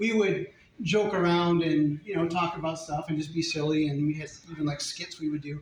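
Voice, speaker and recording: With an American accent, a man talks very fast at a high pitch, his intonation fairly even. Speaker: father of the bride. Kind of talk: wedding speech. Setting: wedding reception.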